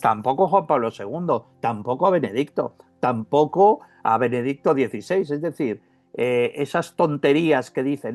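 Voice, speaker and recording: A man with a fairly high pitch and lively intonation at a fairly slow pace, against a quiet background. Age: 60s. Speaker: author and investigative writer. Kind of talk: interview. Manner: animated.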